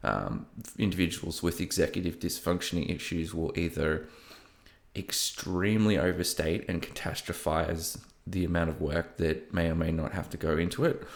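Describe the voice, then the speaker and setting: Very deep and low, a man's voice keeps a fairly even intonation with a slight broad Australian accent. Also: moderate pace. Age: 30s. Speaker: podcast host. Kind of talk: personal monologue. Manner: hesitant, many fillers.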